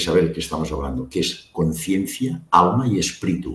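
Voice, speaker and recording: This man talks at a moderate pace, his voice creaking with vocal fry as his pitch swings very widely. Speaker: medical doctor and near-death experience researcher. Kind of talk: interview.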